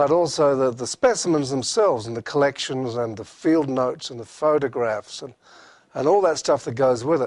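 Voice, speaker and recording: The pace is moderate and the pitch varies in an ordinary way. The background is quiet. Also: man. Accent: Australian. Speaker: professor. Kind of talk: lecture. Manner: hesitant, many fillers.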